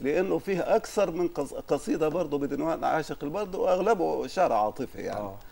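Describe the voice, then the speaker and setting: Light background noise can be heard. A man speaks at a moderate pace. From Upper Egypt. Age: 60s. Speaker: judge and poet; judge, poet. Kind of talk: interview. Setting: studio. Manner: formal. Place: studio. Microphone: lapel.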